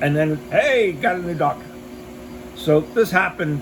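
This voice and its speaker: A man speaks over noticeable background noise. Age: 60s. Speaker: military veteran vlogger. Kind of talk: casual vlog monologue. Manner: rambling with frequent fillers.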